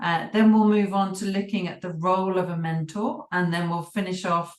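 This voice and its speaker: The woman speaks at a moderate pace with a British accent. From UK. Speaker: business coach and mentor trainer. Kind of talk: online workshop presentation. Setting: video call.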